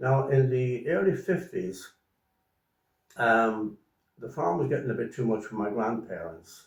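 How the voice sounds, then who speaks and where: A man with lively intonation, a somewhat breathy voice, and long, frequent pauses. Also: medium pitch for a man. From Ireland (County Mayo). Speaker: farmer. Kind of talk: interview. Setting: home. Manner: halting.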